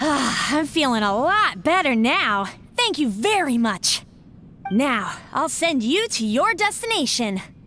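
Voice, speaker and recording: A female-sounding put-on character voice, high in pitch, moves at a fairly slow pace with very wide pitch swings. Clear background noise is present. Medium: video game.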